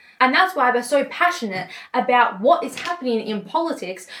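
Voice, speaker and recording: A woman with an Australian accent, high-pitched and animated, at a moderate pace over noticeable background noise. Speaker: political commentator. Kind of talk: political rant.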